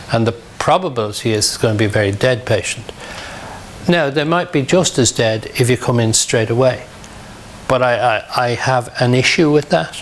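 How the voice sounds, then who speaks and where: At a moderate pace, a man talks with medium pitch, ordinary pitch variation and very even loudness over noticeable background noise. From Ireland, Dublin (Ballyfermot). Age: 60s. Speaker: emergency medicine doctor. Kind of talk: lecture; Q&A session.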